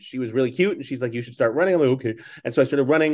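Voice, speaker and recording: A man with an American accent, quiet background behind him. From New York City, Staten Island. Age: 50s. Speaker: author and entrepreneur. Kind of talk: interview.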